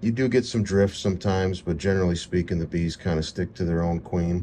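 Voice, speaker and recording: Amid light background noise, a man speaks with a very deep, low pitch and fairly even intonation. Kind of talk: tutorial. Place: open country.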